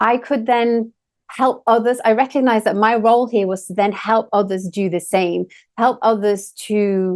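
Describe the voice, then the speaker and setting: A woman with an English accent speaks at a moderate pace, her fairly high pitch carried on fairly even intonation against a quiet background. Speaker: energy healer and co-host. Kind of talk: casual chat.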